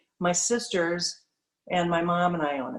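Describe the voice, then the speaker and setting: With an Upper Midwest accent, a woman talks at a moderate pace in a fairly low pitch and fairly even intonation. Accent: Upper Midwest (Minnesota). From Minnesota. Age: 60s. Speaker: bank president. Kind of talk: presentation to a club. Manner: halting, many fillers.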